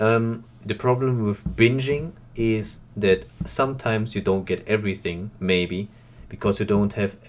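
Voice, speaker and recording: In a German accent, a man talks at a fairly slow pace with a fairly low pitch and fairly even intonation. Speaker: reaction youtuber. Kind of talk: casual video commentary. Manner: halting, with many fillers.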